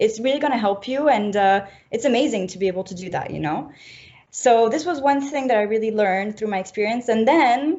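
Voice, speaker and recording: Talking at a fairly quick pace, a woman speaks with a French accent. Her pitch is fairly high, with ordinary variation. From French-speaking Switzerland, near Geneva. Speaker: fashion graduate. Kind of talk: interview.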